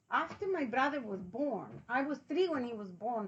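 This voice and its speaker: A woman at a high pitch with very wide pitch swings and a moderate pace, amid noticeable background noise. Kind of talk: interview answer.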